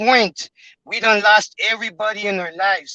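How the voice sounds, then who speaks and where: In a strong Spanish accent, a man speaks at a moderate pace in a raised, projected voice. His pitch is high. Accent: heavy Spanish. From Mexico or Mexican-American community. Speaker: member of a religious group asking a question. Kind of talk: testimony in an online class. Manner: halting, many fillers.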